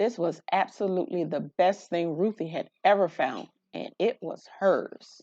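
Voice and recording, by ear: A dark, mellow tone at a fairly slow pace, with ordinary pitch variation. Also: woman, fairly low pitch for a woman.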